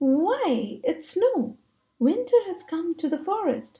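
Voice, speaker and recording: Putting on a squeaky character voice, a woman speaks at an extremely high pitch with very wide pitch swings and a fairly slow pace. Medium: read story. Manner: soft, careful.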